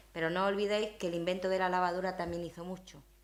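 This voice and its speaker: A woman speaks very fast in a medium pitch. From Spain, Zaragoza (Aragon). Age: 50s. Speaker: university leader, invited speaker. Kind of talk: talk with audience questions. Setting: breakfast event with audience.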